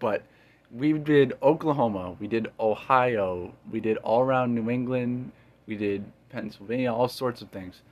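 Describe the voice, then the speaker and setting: A plain, everyday voice from a man at a medium pitch, fairly slow in pace, with big swings in loudness, ordinary pitch variation and a quiet background. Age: 20s. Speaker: podcast host. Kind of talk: casual chat.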